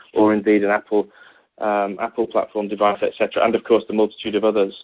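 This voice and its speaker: A British-accented man. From Britain. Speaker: technology executive giving a conference talk. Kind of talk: conference presentation. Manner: halting, many fillers and repetitions.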